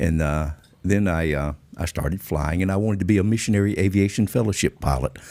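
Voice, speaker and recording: At a very fast pace, a man with a Georgia accent speaks in a very deep, low voice of dark, mellow tone and ordinary pitch variation. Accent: Georgia Southern. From Georgia, US South. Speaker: former drug smuggler and pilot. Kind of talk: interview storytelling. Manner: classy, refined speech.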